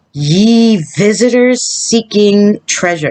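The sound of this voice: A put-on character voice, female-sounding and medium in pitch, at a very slow pace.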